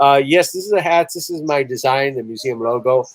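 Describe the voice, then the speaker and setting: With a dry, close sound and no echo, a man talks at a moderate pace in a medium pitch. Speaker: museum director hosting a livestream. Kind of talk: live stream chat with viewers. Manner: loud.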